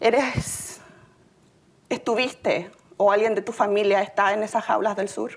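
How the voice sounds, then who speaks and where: Over noticeable background noise, a woman at medium pitch talks in a monotone, flat way at a fairly slow pace with long, frequent pauses. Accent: Chilean. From Chile. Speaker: city employee sharing immigrant story. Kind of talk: personal testimony speech.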